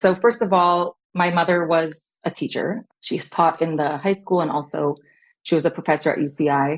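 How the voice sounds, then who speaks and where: A woman with a fairly low pitch and a Californian accent, against a quiet background. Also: ordinary pitch variation, moderate pace. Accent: Californian American English. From Long Beach, California. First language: Hebrew. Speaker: educator and fashion business owner. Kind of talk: podcast interview.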